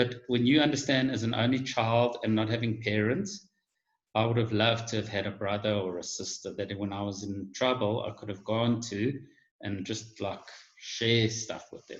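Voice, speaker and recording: A man's somewhat breathy, medium-pitched voice moves at a moderate pace with fairly even intonation. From South Africa, Johannesburg. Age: 50s. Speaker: guest on online talk show. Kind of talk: casual chat. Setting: video call.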